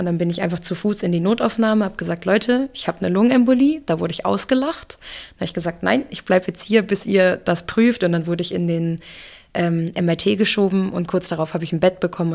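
A woman with a fairly low voice talks at a very fast pace, with ordinary pitch variation. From Hamburg, Germany (moved there at age two and a half). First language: English (speaking German). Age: 30s. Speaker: photographer. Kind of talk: interview testimony.

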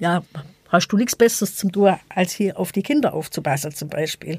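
A woman talks at a moderate pace with lively intonation. Hers is a plain, everyday voice. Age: 50s. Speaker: equal opportunities officer. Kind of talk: debate interview.

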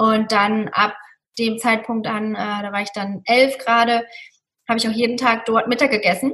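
A woman with a fairly high pitch talks at a moderate pace in a normal speaking voice, with fairly even intonation. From Germany, Mosel region. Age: 30s. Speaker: hotel manager and Ayurveda practitioner. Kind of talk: interview.

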